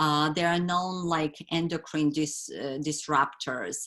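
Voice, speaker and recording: Monotone, flat intonation in a woman's very deep, low voice. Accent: non-native. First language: not English. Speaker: wellness educator. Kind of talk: webinar presentation. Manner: halting, many fillers.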